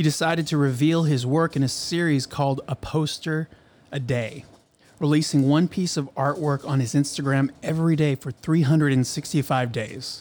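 The pace here is moderate, and the intonation is fairly even. Overall it is an unremarkable speaking voice. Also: man, fairly high pitch for a man. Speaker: podcast host. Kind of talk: casual interview. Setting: studio.

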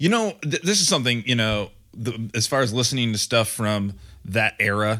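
In a very clean recording with a silent background, a man speaks at a medium pitch and a fairly slow pace, his tone bright and sharp. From Michigan, Grand Rapids. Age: 30s. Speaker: podcast co-host and metal musician. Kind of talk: casual chat.

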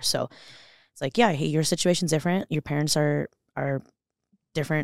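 A woman speaks very fast with an American accent and a very deep, low pitch. Her vocal fry comes through on a very clean recording with a silent background. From Los Angeles, California. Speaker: business owner and fitness coach. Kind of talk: casual interview conversation.

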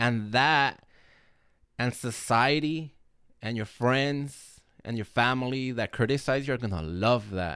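A man with a medium-pitched, bright, sharp voice sounds animated at a fairly slow pace, with ordinary pitch variation on a very clean recording with a silent background. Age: 30s. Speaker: motivational podcast host. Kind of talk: motivational monologue.

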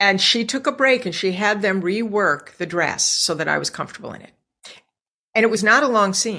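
In an American accent, a woman with a bright, sharp tone speaks at medium pitch and a moderate pace. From US Northeast, Scranton, Pennsylvania. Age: 50s. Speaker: former actress, businesswoman. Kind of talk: interview chat. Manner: animated.

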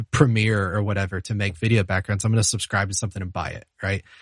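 A fairly low-pitched man with an American accent, somewhat breathy and fairly quick, in a dry, close sound with no echo over a quiet background. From US South, Charlotte, North Carolina. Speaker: music software teacher and worship musician. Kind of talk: casual interview.

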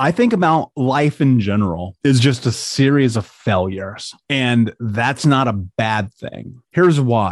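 Over a quiet background, the speaker uses lively intonation with an American accent. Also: man. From US Midwest, Indianapolis. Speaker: life coach and author. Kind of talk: interview. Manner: animated.

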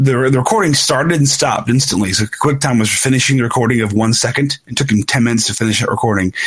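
Over noticeable background noise, a man rattles along at a very fast pace with hardly any pauses. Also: medium pitch for a man, ordinary pitch variation. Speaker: podcast host. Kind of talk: casual chat.

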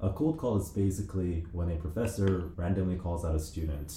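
At a moderate pace, a man speaks with a very deep, low pitch and a dark, mellow, somewhat breathy tone. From New Zealand and Korea. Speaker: law student podcast co-host. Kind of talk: casual chat.

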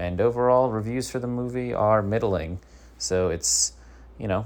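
Lively intonation from a man. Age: 30s. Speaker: comedy podcast host. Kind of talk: comedic news monologue. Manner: halting.

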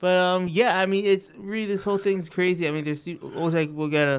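A man speaks with fairly even intonation. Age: 20s. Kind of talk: casual chat. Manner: halting.

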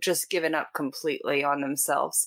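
A woman has an ordinary speaking voice with ordinary pitch variation. She speaks at a fairly quick pace. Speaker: podcast host. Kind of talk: interview conversation.

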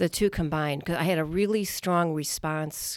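Over a silent background in a very clean recording, a woman talks at a moderate pace with a very deep, low pitch. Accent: Chicago. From US Midwest. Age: 60s. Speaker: painter. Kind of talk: casual interview. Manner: halting.

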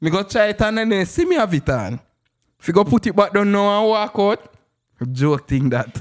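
With a Jamaican accent, the voice swings very widely in pitch and shifts greatly in loudness. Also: man, high pitch for a man, moderate pace, very clean recording, silent background. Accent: Jamaican Patois. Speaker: musician. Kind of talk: casual chat.

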